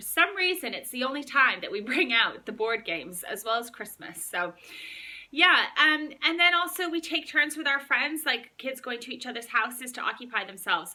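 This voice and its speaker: A woman speaks in a raised, projected voice with an upbeat, bright, sharp tone. Her pitch swings very widely and her loudness shifts in big swings. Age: 30s. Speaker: mum vlogger. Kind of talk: casual talk to camera. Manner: chatty, upbeat.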